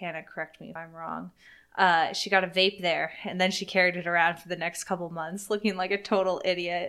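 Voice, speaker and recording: Speaking at a fairly quick pace in a bright, sharp tone, the voice holds a monotone, flat intonation while its loudness swings widely, all on a very clean recording with a silent background. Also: woman, fairly low pitch for a woman. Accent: American. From US East Coast. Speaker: podcast co-host. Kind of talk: casual chat. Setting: sitting at a table. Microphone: laptop recording.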